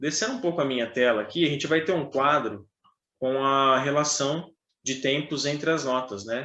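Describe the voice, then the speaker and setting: The man's pitch is fairly high. He talks with a bright, sharp tone. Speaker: trumpet teacher. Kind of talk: online music lesson. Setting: online video class.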